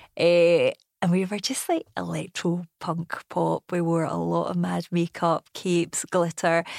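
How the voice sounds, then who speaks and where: A woman speaks with a Glasgow accent at a fairly slow pace. The sound is dry and close, with no echo. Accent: Glasgow Scottish. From Scotland, Bishopbriggs near Glasgow. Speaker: TV entertainment reporter. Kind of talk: casual chat.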